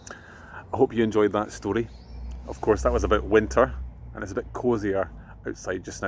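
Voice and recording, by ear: The speaker is a man. His delivery moves at a moderate pace.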